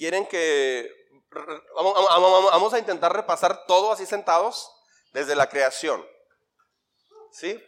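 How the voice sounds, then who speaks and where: Speaking in a high voice with ordinary pitch variation, a man goes at a fairly slow pace with long, frequent pauses. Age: 50s. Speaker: pastor. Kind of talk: sermon. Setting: church.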